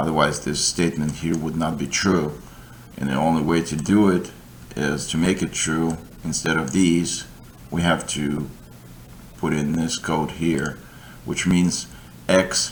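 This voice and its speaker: A man's very deep, low voice with a non-native accent, monotone and flat, at a fairly slow pace with long, frequent pauses and audible room echo. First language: not English. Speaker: coding tutor. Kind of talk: tutorial. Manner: halting.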